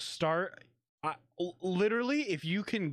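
A man in an American accent swings his pitch very widely on a very clean recording with a silent background. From Kentucky. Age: 20s. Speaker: podcast co-host and streamer. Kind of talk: casual chat. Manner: animated.

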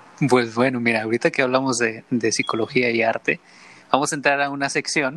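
A man speaks at a fairly quick pace in a medium pitch. His tone is bright and sharp, and the sound is dry and close with no echo. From Mexico, San Luis Potosí and Mexico City. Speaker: podcast host. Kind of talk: casual interview chat.

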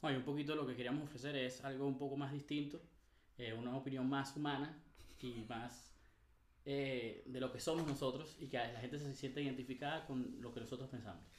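Over audible room echo, a man speaks at a fairly quick pace in a medium pitch with monotone, flat intonation. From Venezuela. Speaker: podcast co-host. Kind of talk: casual chat.

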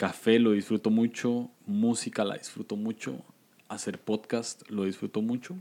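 Speaking with a Costa Rican accent, a man has a dark, mellow tone at a medium pitch. His pace is fairly slow, with ordinary pitch variation. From Costa Rica, San José. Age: 20s. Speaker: podcaster. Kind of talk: casual chat.

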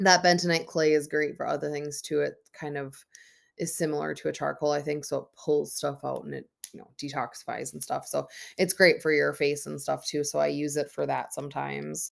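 Speaking at a fairly quick pace with big swings in loudness, a woman with an Upper Midwest accent comes through on a very clean recording with a silent background. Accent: Upper Midwest American. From Minnesota. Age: 30s. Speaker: podcast host. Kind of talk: solo podcast monologue. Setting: at home on her bed. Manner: talkative.

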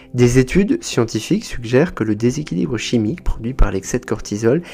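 The voice has a dark, mellow tone with vocal fry. It moves at a fairly quick pace. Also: man. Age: 30s. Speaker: psychotherapist, podcast host. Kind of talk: informative podcast monologue.

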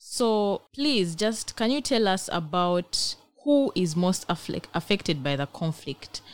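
This woman's medium-pitched voice swings very widely up and down. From Uganda. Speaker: student podcast host. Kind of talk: interview.

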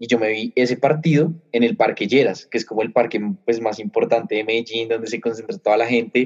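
Using a normal speaking voice, a man talks at a fairly quick pace with hardly any pauses, medium pitch and fairly even intonation. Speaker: sports podcast co-host. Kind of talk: casual chat.

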